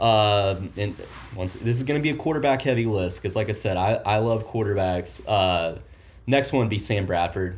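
A man's normal speaking voice with an American accent, fairly low in pitch, at a moderate pace and with ordinary pitch variation. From Oklahoma. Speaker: college football podcast co-host. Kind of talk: casual chat.

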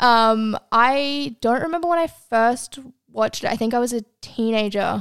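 A woman with an Australian accent, fairly high in pitch, with ordinary pitch variation and a moderate pace, in a dry, close sound with no echo. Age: 20s. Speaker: podcast co-host. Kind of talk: casual chat.

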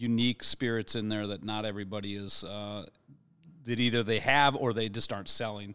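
A man with a normal speaking voice, medium in pitch, at a moderate pace, in a very clean recording with a silent background. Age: 50s. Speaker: spirits director at a bar. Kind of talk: casual chat. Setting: studio.

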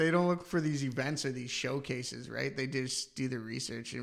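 This man has an ordinary speaking voice with a Canadian accent and a medium pitch. He talks at a moderate pace with ordinary pitch variation. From Canada, London, Ontario. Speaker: gaming podcast co-host. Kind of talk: casual chat.

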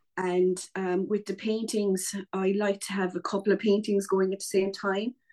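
In an Irish accent, a woman speaks at a moderate pace with medium pitch and fairly even intonation. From Ireland. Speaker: painter and writer. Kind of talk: casual interview chat. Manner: chatty, many fillers.

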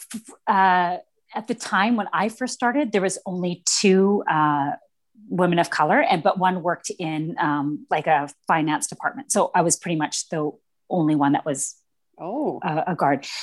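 Against a quiet background, a woman uses an ordinary speaking voice at a medium pitch. Her intonation is lively and her pace moderate. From Canada, East Vancouver. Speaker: corrections officer. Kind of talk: casual interview chat. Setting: podcast recording.

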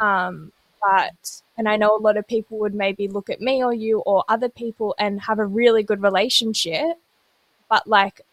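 A woman's fairly high-pitched, an ordinary speaking voice at a moderate pace, dry and close with no echo. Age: 20s. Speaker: podcast host. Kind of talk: casual chat. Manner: rambling, chatty.

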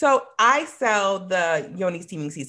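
A woman's medium-pitched, bright, sharp voice with very wide pitch swings, on a very clean recording with a silent background. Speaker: wellness vendor, yoni steaming. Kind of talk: casual interview. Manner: fast talker.

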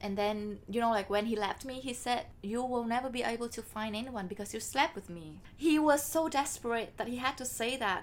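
A woman speaks with a Vietnamese accent at a fairly quick pace, with hardly any pauses. Her pitch is fairly high, with ordinary variation. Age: 20s. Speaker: podcast co-host. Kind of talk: casual chat.

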